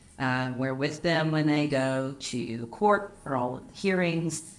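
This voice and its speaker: At a fairly slow pace, a woman talks with a very deep, low pitch and lively intonation, and audible room echo surrounds her. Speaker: property manager and anti-trafficking advocate. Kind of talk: casual chat. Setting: hotel cigar lounge.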